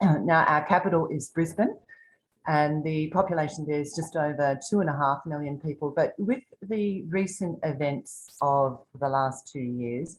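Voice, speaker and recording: Here a woman speaks with an Australian accent. Her pitch is very deep and low, and her pace fairly slow. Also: ordinary pitch variation. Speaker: tour guide. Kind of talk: virtual tour presentation. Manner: soft-spoken.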